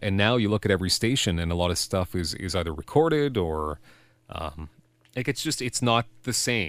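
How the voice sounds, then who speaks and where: A man with a Canadian accent speaks at a fairly quick pace in a fairly low voice. His pitch swings very widely, and the recording is very clean with a silent background. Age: 40s. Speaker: radio and TV personality. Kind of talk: casual interview chat. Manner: halting, many repeated words.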